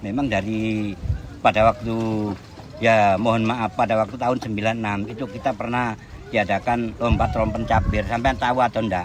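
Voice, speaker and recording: Noticeable background noise sits behind the speech. The delivery is monotone and flat, at a moderate pace. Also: man, medium pitch for a man. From Surabaya, East Java, Indonesia. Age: 60s. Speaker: fisherman. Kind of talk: interview.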